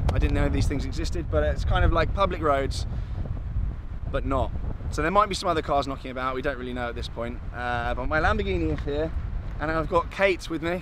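With noticeable background noise but a dry, echo-free sound, a man speaks at a fairly quick pace. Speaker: vlogger host. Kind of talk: casual vlog chat. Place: open country.

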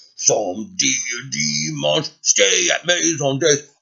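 Putting on a character voice, a man talks at medium pitch and a fairly slow pace. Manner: gruff, tough.

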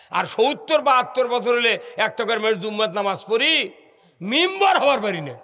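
A man raises and projects his voice at an extremely high pitch. His intonation is lively. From Bangladesh. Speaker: Islamic preacher. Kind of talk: sermon. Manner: animated. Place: stage. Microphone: podium.

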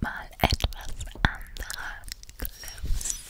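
A soft-spoken, whispering woman. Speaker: ASMR creator. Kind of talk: soft ASMR talk. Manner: soft close-mic ASMR whisper. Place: home room.

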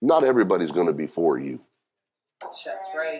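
Against a quiet background, a man is talking. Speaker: pastor. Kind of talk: sermon. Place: church.

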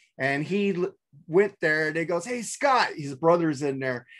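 A man speaks against a quiet background. His pitch varies in an ordinary way. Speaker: remote podcast guest. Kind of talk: casual storytelling chat. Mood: amused, nostalgic. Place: home room. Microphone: video call.

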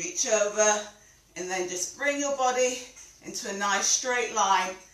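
A woman at a fairly slow pace, ordinary pitch variation, audible room echo. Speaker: fitness instructor. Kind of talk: exercise class instruction. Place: home room. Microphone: camera far.

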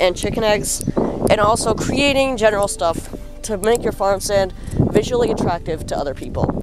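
Over music in the background, the speaker talks at a moderate pace in a dry sound with no echo. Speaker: young backyard farmer vlogger. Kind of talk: casual vlog tutorial. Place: garden. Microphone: phone near.

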